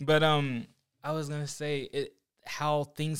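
A man speaks at a very slow pace in an American accent. The recording is very clean, with a silent background. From Oklahoma. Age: 30s. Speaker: graphic designer and church young adult leader. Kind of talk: casual chat.

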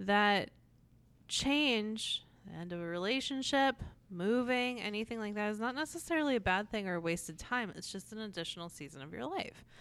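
With an American accent and an ordinary speaking voice, a woman at medium pitch talks at a moderate pace with lively intonation over a very clean recording with a silent background. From US Northeast, New Jersey (Atlantic City). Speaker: library director, podcast co-host. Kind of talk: casual book discussion.

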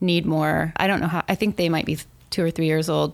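A woman talks in an unremarkable speaking voice at a fairly quick pace. Her pitch sits fairly low. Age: 40s. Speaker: coffee shop owner and city business official. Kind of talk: casual interview.

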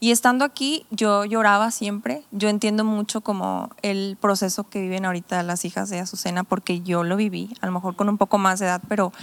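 In a normal speaking voice, a woman talks at a fairly quick pace and medium pitch with fairly even intonation, the sound dry and close with no echo. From Mexico, Tepic (Nayarit) and Sonora. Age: 20s. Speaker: pastor. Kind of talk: casual chat.

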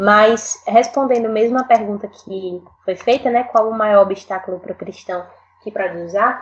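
A woman's fairly high voice, an ordinary speaking voice, at a moderate pace with ordinary pitch variation and big swings in loudness. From Northeast Brazil, Rio Grande do Norte. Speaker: singer-songwriter. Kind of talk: casual panel discussion.

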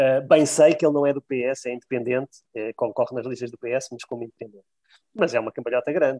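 Talking very fast at medium pitch, a man keeps a fairly even intonation while his loudness swings a lot. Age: 50s. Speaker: bank employee and local election candidate. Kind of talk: interview.

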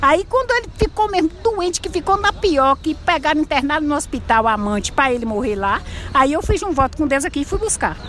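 With hardly any pauses, a woman with a high pitch speaks with very wide pitch swings over noticeable background noise. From Bahia, Brazil (Cruz das Almas). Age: 60s. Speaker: street artisan and vendor. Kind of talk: interview.

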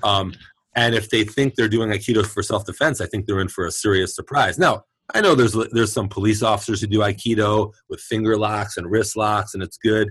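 This man has a plain, everyday voice, pitched fairly low with fairly even intonation. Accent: American. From Brooklyn, New York. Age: 50s. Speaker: chiropractor and martial artist. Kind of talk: casual interview chat.

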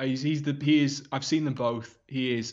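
In a Lancashire accent, a man talks with fairly even intonation. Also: quiet background. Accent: northern English (Lancashire). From northern England, Wigan. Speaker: football presenter and reporter. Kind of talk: casual interview. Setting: remote call.

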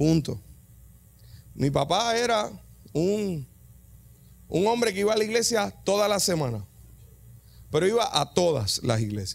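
Over music in the background, a man with a Puerto Rican accent speaks at a fairly slow pace in a high voice, swinging very widely in pitch at a very even loudness, with long, frequent pauses. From Puerto Rico, Yabucoa. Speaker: preacher. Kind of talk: sermon. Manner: animated; halting.

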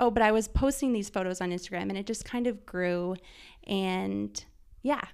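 An ordinary speaking voice from a woman with a Canadian accent, medium pitch and ordinary pitch variation, at a moderate pace on a very clean recording with a silent background. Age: 30s. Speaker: food stylist and photographer. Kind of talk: casual chat.

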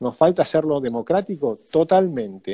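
A man with a fairly high pitch and a dark, mellow tone talks at a moderate pace with lively intonation, recorded dry and close with no echo. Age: 50s. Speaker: economist and politician. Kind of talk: interview.

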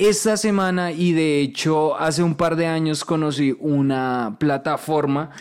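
A man with an unremarkable speaking voice talks at a fairly slow pace, with hardly any pauses, ordinary pitch variation and very even loudness. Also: fairly high pitch for a man. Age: 20s. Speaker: podcast host. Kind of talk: casual interview chat.

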